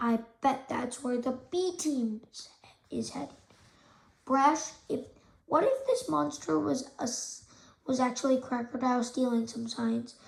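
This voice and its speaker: A raspy, put-on character voice speaks at a moderate pace. Long, frequent pauses break up the speech. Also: woman, high pitch for a woman. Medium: read story. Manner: eager, goofy.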